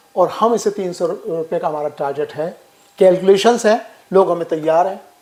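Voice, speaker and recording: A man speaks in a high pitch against noticeable background noise. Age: 70s. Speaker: social worker. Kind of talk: interview.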